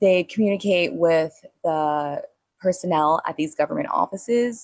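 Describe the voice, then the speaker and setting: Her delivery moves along at a moderate speed. The rise and fall of her pitch is typical. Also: dry, close sound with no echo. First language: not Spanish; speaks Spanish as second language. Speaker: podcast host. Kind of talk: solo podcast monologue. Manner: casual, conversational with fillers.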